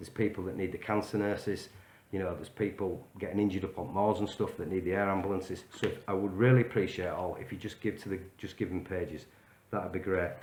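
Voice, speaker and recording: A man with a fairly low pitch speaks at a very fast pace with fairly even intonation. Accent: Yorkshire. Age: 40s. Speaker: vlogger. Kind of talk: direct-to-camera video message. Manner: casual, hesitant with fillers.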